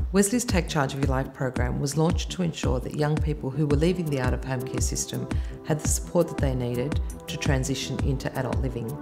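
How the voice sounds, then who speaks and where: Clear music plays in the background as the speech races along at a very fast pace. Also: woman. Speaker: charity staff member. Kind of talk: interview answer. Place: home room.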